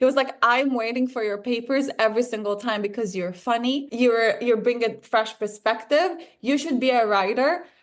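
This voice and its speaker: With an Israeli accent, a woman talks at a moderate pace, her pitch fairly high and her intonation fairly even. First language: Hebrew. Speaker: filmmaker. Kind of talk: interview.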